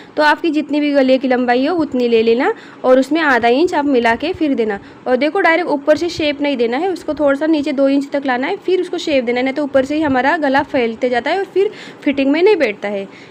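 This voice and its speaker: The speaker talks at a moderate pace with ordinary pitch variation. Noticeable background noise can be heard. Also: woman, high pitch for a woman. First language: not Hindi (speaking Hindi). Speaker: tailoring teacher. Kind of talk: tutorial. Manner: halting.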